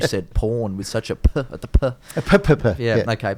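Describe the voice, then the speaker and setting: A man with an Australian accent. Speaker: comedian, podcast host. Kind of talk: casual podcast conversation.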